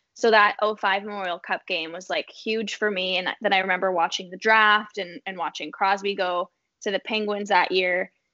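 At a moderate pace, a woman uses a normal speaking voice with medium pitch and fairly even intonation. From southwestern Ontario, Canada. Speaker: sports journalist. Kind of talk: casual chat.

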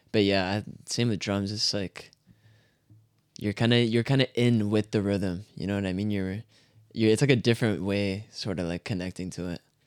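Using an ordinary speaking voice with a Canadian accent, a man speaks at a moderate pace with fairly low pitch and fairly even intonation, the sound dry and close with no echo. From Canada. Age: 20s. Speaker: musician. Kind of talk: casual chat.

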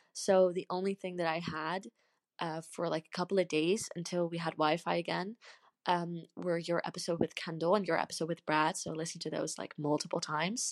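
A woman talks at a fairly quick pace with a fairly low pitch and monotone, flat intonation. The sound is dry and close, with no echo. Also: very clean recording, silent background. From Netherlands. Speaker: podcast listener leaving a voice message. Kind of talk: recorded voice message.

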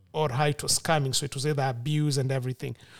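A man with a fairly high pitch speaks with fairly even intonation, the sound dry and close with no echo on a very clean recording with a silent background. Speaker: podcast guest. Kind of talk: casual discussion.

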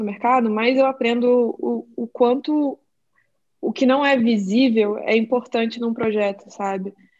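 With an unremarkable speaking voice, a woman talks at a fairly slow pace in a fairly high pitch with ordinary pitch variation. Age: 20s. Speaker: designer and illustrator. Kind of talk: casual chat.

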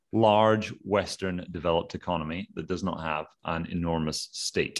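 Against a quiet background, a man with a Scottish accent speaks fairly slowly in a very deep, low voice with ordinary pitch variation. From Scotland. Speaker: podcast host. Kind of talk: casual chat.

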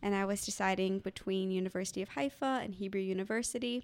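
A woman with a plain, everyday voice speaks at a fairly quick pace with fairly even intonation. The recording is very clean, with a silent background. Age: 20s. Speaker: non-profit worker. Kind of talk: interview.

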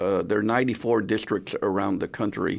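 At a moderate pace, a man talks at a medium pitch with ordinary pitch variation in an unremarkable speaking voice. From San Antonio, Texas. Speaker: retired judge and lawyer. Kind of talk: radio interview. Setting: radio studio.

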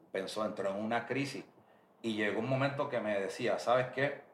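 Over noticeable background noise, a man talks at a moderate pace in a medium pitch with fairly even intonation. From Puerto Rico (Bayamón). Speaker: reggaeton music producer. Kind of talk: interview.

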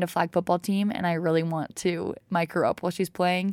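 In an American accent, a woman speaks at a fairly quick pace with an unremarkable speaking voice at medium pitch, the recording very clean with a silent background and a dry, close sound with no echo. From Utah. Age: 20s. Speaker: podcaster. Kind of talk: casual monologue. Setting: home recording.

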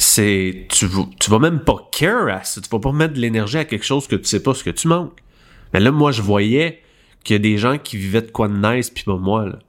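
A man in a Quebec accent with lively intonation, at a moderate pace, on a very clean recording with a silent background. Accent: Québécois French. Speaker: podcast co-host. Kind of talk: casual chat.

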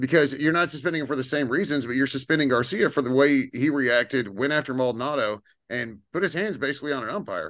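Against a quiet background, a man with an American accent talks very fast at a fairly high pitch with ordinary pitch variation. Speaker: podcast host. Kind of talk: casual chat.

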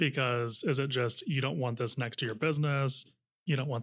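A man with an American accent and a plain, everyday voice, ordinary pitch variation, a moderate pace, and a very clean recording over a silent background. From Napa County, Northern California. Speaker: housing advocacy nonprofit director. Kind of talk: casual interview.

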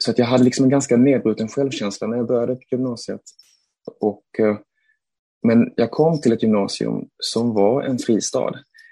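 A man's medium-pitched voice, dark and mellow in tone, with fairly even intonation and long, frequent pauses. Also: moderate pace. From Sweden, Malmö. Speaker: theatre director. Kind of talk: interview. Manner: hesitant, repeats words.

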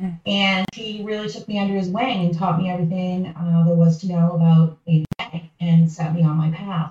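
With a normal speaking voice, a woman talks at a moderate pace, with hardly any pauses and fairly even intonation. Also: fairly low pitch for a woman. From Massachusetts, outside Boston. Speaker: nonprofit consultant. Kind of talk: podcast interview.

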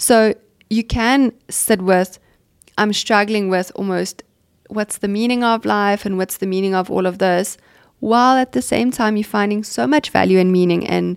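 A woman speaks at a fairly slow pace in a plain, everyday voice, her pitch medium. The sound is dry and close with no echo, and the recording is very clean over a silent background. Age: 30s. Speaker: clinical psychologist, podcast host. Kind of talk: casual interview.

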